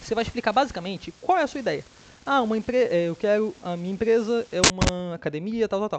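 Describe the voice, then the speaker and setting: Lively intonation at a fairly quick pace. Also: man. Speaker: student tutor. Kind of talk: tutorial. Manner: fast; casual, halting.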